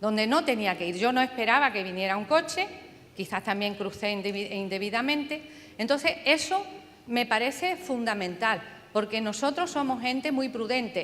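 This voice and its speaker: A woman speaks at a moderate pace in a fairly high pitch, her voice swinging very widely up and down over noticeable background noise. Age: 70s. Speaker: audience member. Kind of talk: audience question.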